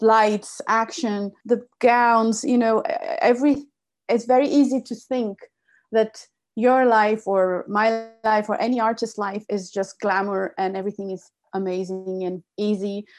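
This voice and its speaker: Over music in the background, a woman talks fairly slowly in a fairly high voice. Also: ordinary pitch variation. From Brazil. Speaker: podcast host and singer. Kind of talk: interview conversation. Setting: video call.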